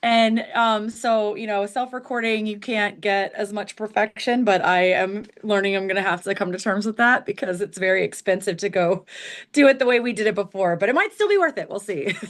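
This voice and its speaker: In an American accent, a woman with an ordinary speaking voice talks at a fairly quick pace and medium pitch, with ordinary pitch variation and hardly any pauses. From US Midwest, Missouri; military childhood around the US. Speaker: ska band singer. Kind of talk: casual interview chat.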